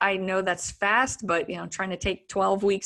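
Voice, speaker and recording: A woman's medium-pitched voice with a bright, sharp tone, some vocal fry, and a moderate pace. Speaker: dietitian and nutrition coach. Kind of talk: online presentation with sales pitch.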